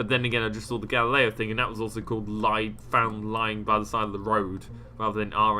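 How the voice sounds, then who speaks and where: At a fairly quick pace, a man speaks in a fairly low, bright and sharp voice with monotone, flat intonation. Audible room echo is present. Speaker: gaming YouTuber. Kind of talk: game mod showcase commentary. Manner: fast.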